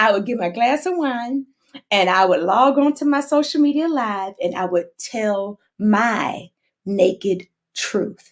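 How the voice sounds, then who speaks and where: A woman speaks with an animated tone and lively intonation in a Texas accent. Her pace is fairly slow. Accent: Southern US, Texas. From US South, Houston, Texas. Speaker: singer. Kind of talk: casual chat. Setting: social media livestream.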